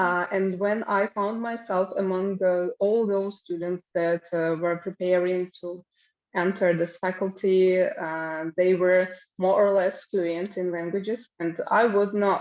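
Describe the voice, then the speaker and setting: The woman's pace is fairly slow. Her delivery has monotone, flat intonation. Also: medium pitch for a woman. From Russia. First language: Russian. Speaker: English teacher. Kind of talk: online conference talk. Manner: hesitant, many fillers.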